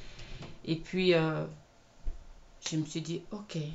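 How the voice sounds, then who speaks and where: A woman with a non-native accent speaks at a fairly low pitch. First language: not English (speaking French). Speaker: video blogger and film set worker. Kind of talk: personal testimony vlog. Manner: hesitant, with many fillers.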